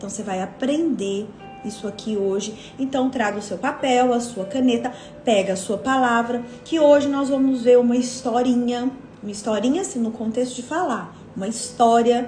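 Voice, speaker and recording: Noticeable background noise and audible room echo fill the recording. A high-pitched woman speaks at a moderate pace with ordinary pitch variation. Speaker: women's devotional leader. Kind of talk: devotional teaching live stream. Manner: casual, conversational.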